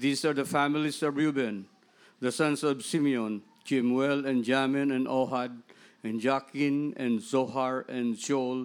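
A man with a normal speaking voice talks at a fairly slow pace and a medium pitch, with fairly even intonation and very even loudness, on a very clean recording with a silent background. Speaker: scripture reader. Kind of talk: reading aloud. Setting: church.

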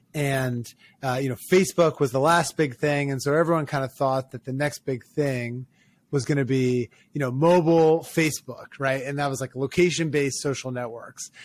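A man with an American accent and an unremarkable speaking voice talks at a moderate pace, his fairly high pitch held in fairly even intonation. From Maryland, US (Ocean City). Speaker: startup founder and venture investor. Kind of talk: interview.

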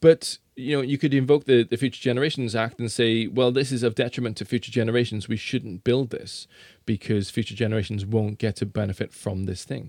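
Someone with a South Wales accent talks at a fairly quick pace, with hardly any pauses. Pitch varies in an ordinary way, and the very clean recording is dry and close, with no echo and a silent background. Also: man, medium pitch for a man. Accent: South Wales Welsh English. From South Wales valleys. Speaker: science presenter. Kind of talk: casual interview chat. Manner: halting, repeats words.

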